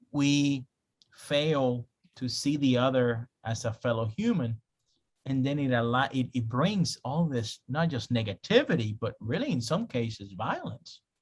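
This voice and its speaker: The voice is somewhat breathy, with ordinary pitch variation and a fairly slow pace. The sound is dry and close, with no echo. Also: man, medium pitch for a man. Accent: Spanish. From Spanish-speaking country, moved to US at 13. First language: Spanish. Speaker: pastor. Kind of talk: online class lecture. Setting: video call. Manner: conversational, with frequent fillers.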